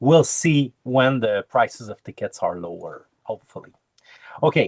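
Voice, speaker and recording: The speaker has a Quebec accent and a moderate pace. Pitch varies in an ordinary way. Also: man. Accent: French Canadian accent in English. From Quebec, French Canada. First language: French. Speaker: Agile coach and Kanban trainer. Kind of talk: conference talk over video call. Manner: halting, many fillers.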